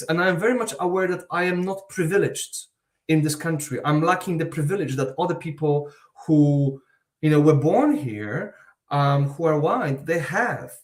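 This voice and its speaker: Moderate pace from a man whose voice sits fairly high. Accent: Eastern European. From Eastern Europe. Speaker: university researcher. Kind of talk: panel discussion. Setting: online live event.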